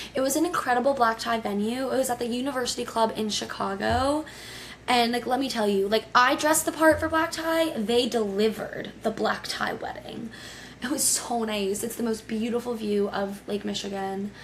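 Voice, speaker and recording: The speaker has an American accent and an animated tone with ordinary pitch variation, heard through noticeable background noise. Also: woman, high pitch for a woman. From Connecticut, US. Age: 20s. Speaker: podcast host. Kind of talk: casual solo podcast storytelling. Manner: fast.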